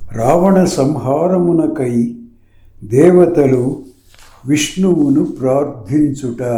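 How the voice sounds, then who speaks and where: With his pitch fairly high and varying in an ordinary way, this man talks over noticeable background noise. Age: old. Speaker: scripture reader. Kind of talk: devotional scripture reading.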